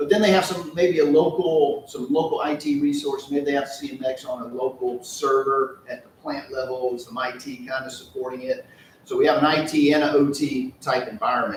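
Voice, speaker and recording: There is noticeable background noise. A man with a fairly high pitch speaks with hardly any pauses. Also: ordinary pitch variation. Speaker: company presenter. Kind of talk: business presentation. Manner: fast.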